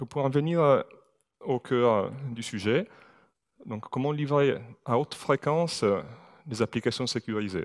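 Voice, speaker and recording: A man with an Italian accent speaks at a fairly slow pace, with long, frequent pauses, a medium pitch, and ordinary pitch variation. The sound is dry and close with no echo, on a very clean recording with a silent background. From Italy. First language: Italian (speaking French). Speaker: IT security manager. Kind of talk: conference talk. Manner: hesitant, many fillers.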